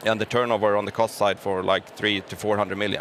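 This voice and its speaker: A man with a Gothenburg accent, fairly low in pitch, at a very fast pace. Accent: Gothenburg Swedish. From Gothenburg, Sweden. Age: 30s. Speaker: business executive. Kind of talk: interview. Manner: halting.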